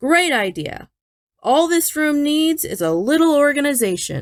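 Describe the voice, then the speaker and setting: At a moderate pace, a woman performs a put-on character voice pitched high. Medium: read story.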